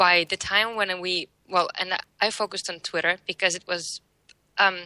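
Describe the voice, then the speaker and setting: A woman's monotone, flat delivery with a non-native accent. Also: medium pitch for a woman, moderate pace, dry, close sound with no echo, quiet background. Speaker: social media marketer. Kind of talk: interview. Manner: halting, many fillers.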